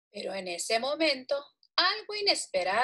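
The background is quiet while someone reads aloud in a natural voice.

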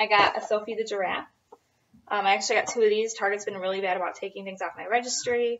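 A woman speaks at a very fast pace. Her pitch variation is ordinary. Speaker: expectant mother vlogger. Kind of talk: casual vlog chat. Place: home room. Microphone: webcam.

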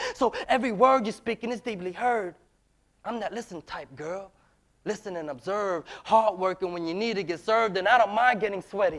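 A man with a high pitch and an American accent talks at a fairly quick pace. His pitch variation is ordinary, and the background is quiet. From US. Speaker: spoken word poet. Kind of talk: spoken word performance. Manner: rhythmic. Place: stage. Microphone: lapel.

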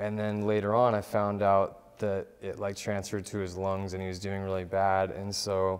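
A man's fairly low voice in an American accent, with monotone, flat intonation. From Southern California. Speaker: music producer; interview guest. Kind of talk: interview. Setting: studio. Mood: calm, reflective. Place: studio. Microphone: lapel.

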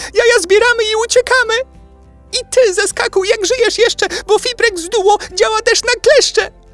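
A man's put-on character voice, squeaky and extremely high in pitch, at a moderate pace over faint music in the background. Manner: fast, panicked.

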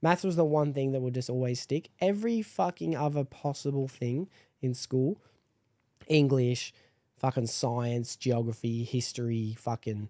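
A man speaks in a dark, mellow tone with ordinary pitch variation. The background is quiet. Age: 20s. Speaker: podcast host. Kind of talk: casual chat. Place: home room. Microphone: studio mic.

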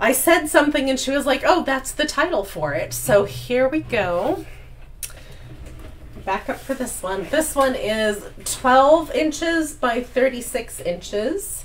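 With lively intonation and a high pitch, a woman speaks at a very slow pace, leaving long, frequent pauses. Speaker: artist. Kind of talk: casual live stream talk.

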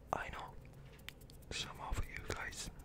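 This is a man. He is whispering. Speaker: ASMR creator. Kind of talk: ASMR sleep video. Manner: whispered. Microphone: studio mic.

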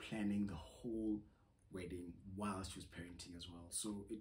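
Fairly low and somewhat breathy, this man's voice has a dark, mellow tone. He talks at a fairly quick pace with fairly even intonation. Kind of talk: casual vlog chat. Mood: reflective, calm. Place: home room.

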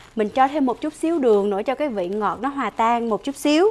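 A woman's fairly high voice with a slightly mellow tone and lively intonation

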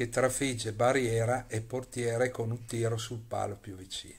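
This man's voice is medium-pitched and somewhat breathy. He speaks at a fairly slow pace with monotone, flat intonation. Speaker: football commentator.

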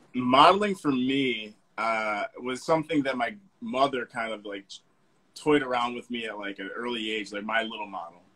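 Speaking at a moderate pace, a man uses a medium pitch with ordinary pitch variation and big swings in loudness. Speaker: fashion model; interview guest. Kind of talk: casual chat. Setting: video call. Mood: relaxed, friendly. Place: home room. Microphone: video call.

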